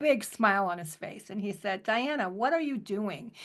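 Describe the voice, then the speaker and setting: A woman with a plain, everyday voice, fairly high in pitch, at a moderate pace against a quiet background. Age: 60s. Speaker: cancer survivor, product advocate. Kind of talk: testimony. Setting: audio chat.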